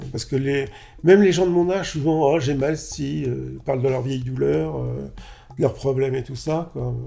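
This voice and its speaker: Moderate pace with audible room echo. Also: man. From France, Paris suburbs. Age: 50s. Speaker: interviewee. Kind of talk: testimony.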